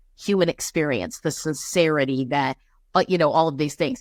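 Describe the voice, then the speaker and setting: On a very clean recording with a silent background, a woman's fairly low voice shows ordinary pitch variation. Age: 40s. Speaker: guest. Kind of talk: casual chat. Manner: halting.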